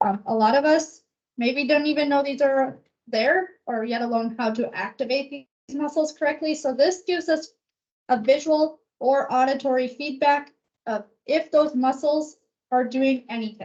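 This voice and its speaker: A woman speaks in a high pitch at a moderate pace. Her pitch varies in an ordinary way. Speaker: physical therapist. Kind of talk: public health talk, Q&A. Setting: presentation to live audience.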